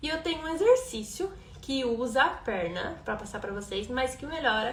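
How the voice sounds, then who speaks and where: Set against noticeable background noise and audible room echo, a woman speaks at a fairly slow pace in a high pitch. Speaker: rhythmic gymnastics coach. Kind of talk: live-stream class. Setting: Instagram live stream.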